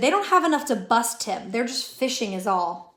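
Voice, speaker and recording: A put-on character voice mumbles at a moderate pace. It sounds raspy, with very wide pitch swings. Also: woman, fairly high pitch for a woman. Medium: read story. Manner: mumbling, defensive.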